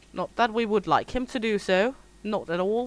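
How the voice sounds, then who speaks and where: A woman with a fairly high pitch talks at a moderate pace, her intonation fairly even. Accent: strong Scandinavian. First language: Danish. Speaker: gaming streamer. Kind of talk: casual livestream chat. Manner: hesitant, frequent ums.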